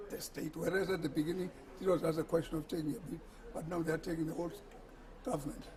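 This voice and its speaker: A high-voiced man with typical pitch movement speaks against clearly audible background noise. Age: 70s. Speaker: former government minister. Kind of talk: interview answer.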